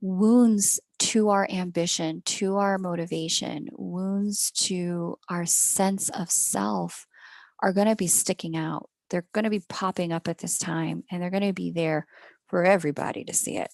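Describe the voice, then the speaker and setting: A woman with an American accent and an unremarkable speaking voice talks at a fairly slow pace with fairly even intonation, the sound dry and close with no echo. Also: fairly low pitch for a woman, quiet background. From United States. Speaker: astrologer. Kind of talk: astrology reading monologue. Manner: casual, self-correcting.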